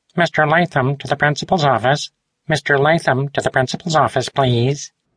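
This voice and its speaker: In a put-on character voice, a man sounds creaky and croaky at a fairly high pitch, with fairly even intonation and a moderate pace. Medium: read story.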